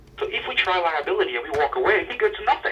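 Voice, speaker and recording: A man talks with ordinary pitch variation. Background noise is noticeable. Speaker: insurance claims examiner. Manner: agitated.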